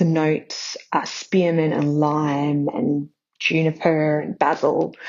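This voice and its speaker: With an Australian accent, a woman speaks in a very deep, low voice. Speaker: caller. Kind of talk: voicemail call-in. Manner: quiet.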